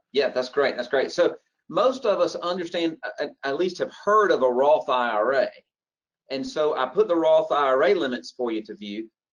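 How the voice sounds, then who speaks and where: A fairly high-pitched man with a Southern US accent, moderate pace and very wide pitch swings. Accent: Southern US (Georgia). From Georgia, US South. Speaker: financial planner. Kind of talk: webinar presentation.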